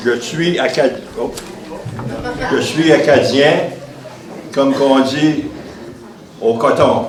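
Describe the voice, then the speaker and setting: With a French accent, the speaker goes at a very slow pace with ordinary pitch variation, amid audible room echo and noticeable background noise. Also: man. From northern Maine, St. John Valley. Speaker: former state legislator. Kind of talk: commemorative speech. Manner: halting.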